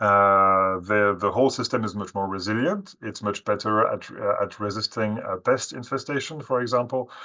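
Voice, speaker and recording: Against a quiet background, a man with a French accent speaks at a moderate pace with hardly any pauses, in a fairly low pitch and a bright, sharp tone. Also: ordinary pitch variation. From France. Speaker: webinar speaker on forestry. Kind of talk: webinar presentation. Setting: online webinar. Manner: halting, many fillers.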